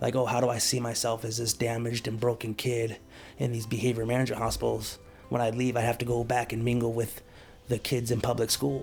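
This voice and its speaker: Over music in the background, a man delivers monotone, flat speech very fast at a medium pitch. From Alaska. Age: 40s. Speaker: former prisoner. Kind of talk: interview testimony. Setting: at home in a studio apartment. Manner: halting, many fillers.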